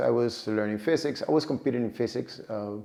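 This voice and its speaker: Here a man speaks with a Cuban accent. His pitch variation is ordinary. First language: Spanish. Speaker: data professional and vlogger. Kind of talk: personal story vlog. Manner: halting, frequent repetitions and fillers.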